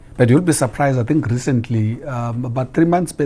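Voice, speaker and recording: Somewhat breathy and dark, mellow in tone, a man speaks at a medium pitch and a fairly quick pace with ordinary pitch variation. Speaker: diplomat. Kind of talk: TV interview.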